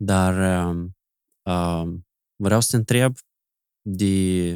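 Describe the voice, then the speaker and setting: With a silent backdrop and very clean audio, this male speaker's voice sits very deep and low. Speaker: podcast host. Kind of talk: casual chat. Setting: studio.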